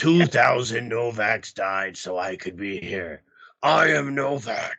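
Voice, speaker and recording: Putting on a raspy character voice, a man speaks fairly slowly at a medium pitch with lively intonation. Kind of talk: wrestling announcer style. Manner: without charisma.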